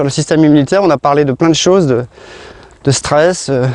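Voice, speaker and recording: A man with a fairly high pitch talks at a fairly quick pace. His tone is relaxed and his intonation fairly even. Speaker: naturopath health coach. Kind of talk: casual vlog talk. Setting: outdoors, walking in countryside. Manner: soft-spoken; relaxed, halting.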